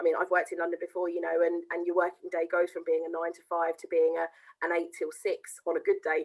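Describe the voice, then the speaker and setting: Very fast and monotone with flat intonation, a woman speaks at a fairly low pitch in a southern English accent. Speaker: education account manager. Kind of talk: interview.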